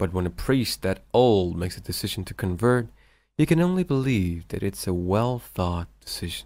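Over a silent background in a very clean recording, a man talks at a moderate pace with very wide pitch swings. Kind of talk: documentary-style story narration.

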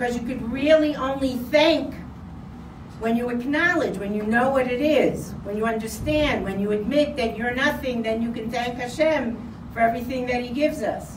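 A woman speaks at a high pitch and a moderate pace, with ordinary pitch variation. Noticeable background noise runs underneath. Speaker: religious teacher. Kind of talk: sermon. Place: hall. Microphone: camera far.

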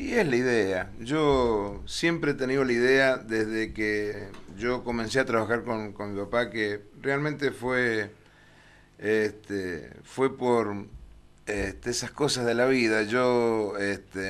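A man speaks in a medium pitch with ordinary pitch variation. His pace is very slow. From Argentina. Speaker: cycling race announcer. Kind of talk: TV interview. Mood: relaxed, reminiscing. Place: studio. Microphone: podium.

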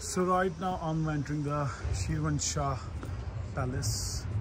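A man speaking at a very slow pace over loud background noise. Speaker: travel vlogger. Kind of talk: casual vlog chat. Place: street. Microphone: phone near.

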